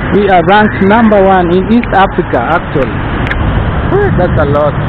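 The speaker is a man at a moderate pace. Noticeable background noise sits under a dry sound with no echo. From Kenya. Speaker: YouTube vlogger. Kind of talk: walking vlog narration. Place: street. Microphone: phone near.

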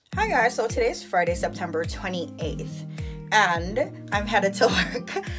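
Clear music plays in the background as the speech moves at a fairly slow pace. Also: woman. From Jamaica. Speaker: vlogger. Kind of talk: casual vlog talk to camera. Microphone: phone near.

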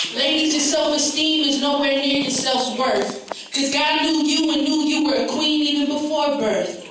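A woman with a high-pitched voice speaks at a moderate pace with fairly even intonation, over noticeable background noise and strong room echo. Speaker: spoken word poet. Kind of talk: spoken word poetry performance. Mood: earnest, emphatic. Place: hall. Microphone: camera far.

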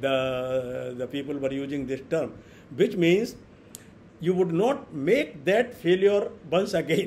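Over light background noise, a man with a fairly high pitch talks at a very slow pace with lively intonation. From India. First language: Hindi. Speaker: professor giving lecture; invited professor lecturing. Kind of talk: online lecture. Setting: video call. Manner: hesitant, fillers, repeats words. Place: home room.

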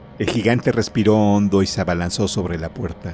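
Simple reading aloud with no embellishment

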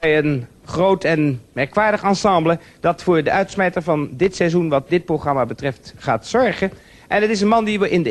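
A man with a high pitch talks with lively intonation and hardly any pauses. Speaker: TV talk show host. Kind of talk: TV show host introduction. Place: studio. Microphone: handheld.

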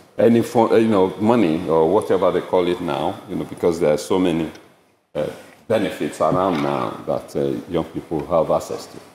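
There is audible room echo around a man's voice. Light background noise can be heard. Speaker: bereaved father; speaker. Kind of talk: public talk. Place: hall. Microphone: podium.

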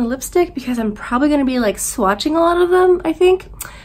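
A woman is talking. Her pace is very fast. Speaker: beauty vlogger. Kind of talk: casual vlog chat. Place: home room. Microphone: phone near.

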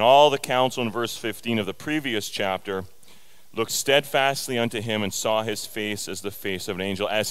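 With an unremarkable speaking voice, a man talks at a fairly low pitch. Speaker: preacher. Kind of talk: sermon. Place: church. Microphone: headset.

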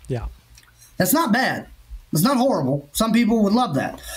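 A man talks with a Southern US accent. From Kentucky. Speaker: insurance claims adjuster; podcast co-host. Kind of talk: casual podcast interview. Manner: animated. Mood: relaxed, conversational. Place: home room. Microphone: webcam.

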